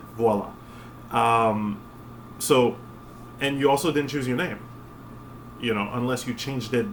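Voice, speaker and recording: Over noticeable background noise and audible room echo, a man with a French accent speaks at a moderate pace and medium pitch with fairly even intonation. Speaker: spiritual vlogger. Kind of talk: casual monologue. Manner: halting, many fillers.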